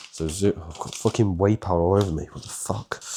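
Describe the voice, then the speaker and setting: Over noticeable background noise, a man with a British accent speaks at a very deep, low pitch and a fairly quick pace with fairly even intonation. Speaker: fitness coach. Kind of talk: casual cooking tutorial.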